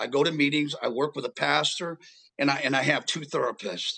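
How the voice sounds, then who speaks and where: A man with an American accent speaks at a fairly quick pace in a fairly high pitch, with vocal fry. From US West Coast, Los Angeles. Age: 60s. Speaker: homeless advocate in addiction recovery. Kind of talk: interview testimony. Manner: repeats words, halting.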